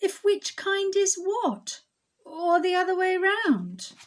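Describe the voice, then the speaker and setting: Using a put-on character voice, a woman speaks at an extremely high, squeaky pitch and a very slow pace. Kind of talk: bedtime story. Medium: read story. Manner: snobbish, bragging.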